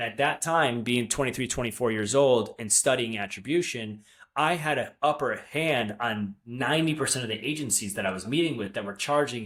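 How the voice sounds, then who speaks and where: A man with a normal speaking voice talks at a moderate pace and medium pitch, his intonation lively in a very clean recording with a silent background. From upstate New York. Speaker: marketing agency founder. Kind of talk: interview.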